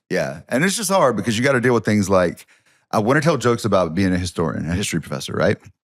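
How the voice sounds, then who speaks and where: With a Southern US accent, a man speaks at a very fast pace in a fairly low voice that makes very wide pitch swings. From US South. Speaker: history professor and comedian. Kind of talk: casual chat. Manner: hesitant, filler-heavy.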